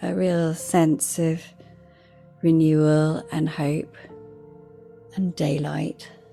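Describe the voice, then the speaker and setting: Over music in the background, a woman with a very deep, low pitch speaks at a very slow pace in a calm, gentle tone, leaving long, frequent pauses. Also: fairly even intonation. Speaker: meditation guide and podcast host. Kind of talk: guided meditation. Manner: calm, slow, gentle.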